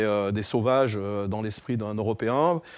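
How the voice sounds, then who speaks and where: The recording is very clean with a silent background as a man speaks at medium pitch and a moderate pace, his intonation fairly even. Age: 60s. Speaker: entrepreneur and fitness figure. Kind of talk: interview. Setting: studio. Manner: hesitant, many fillers.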